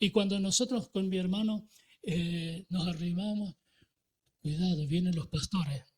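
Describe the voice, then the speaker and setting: A man speaks at a fairly slow pace with ordinary pitch variation. His pitch is high. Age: 80s+. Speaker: pastor. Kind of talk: sermon. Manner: hesitant, many fillers and repetitions.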